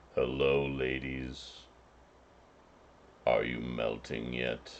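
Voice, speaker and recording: A man's put-on character voice, very deep and low, monotone and flat, at a very slow pace. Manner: menacing.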